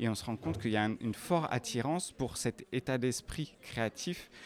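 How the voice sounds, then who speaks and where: Male speech, medium in pitch, with ordinary pitch variation and a plain, everyday voice. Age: 40s. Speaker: fashion designer and entrepreneur. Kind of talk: interview. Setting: corridors of a live industry event.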